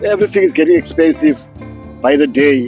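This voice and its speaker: A man talks at a moderate pace. There is music behind him. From South Africa. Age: 70s. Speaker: urban home grower. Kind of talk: interview answer.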